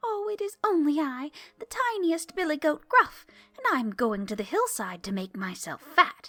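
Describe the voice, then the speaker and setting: Faint music plays behind a woman doing a put-on character voice. Her high pitch swings very widely at a moderate pace. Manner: timid.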